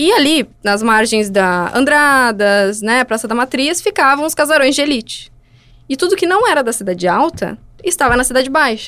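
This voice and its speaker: At a moderate pace, a woman with a high pitch and a bright, sharp tone speaks with very wide pitch swings and very even loudness. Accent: southern Brazilian. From Porto Alegre, southern Brazil. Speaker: architect and urban planner. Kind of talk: casual interview chat.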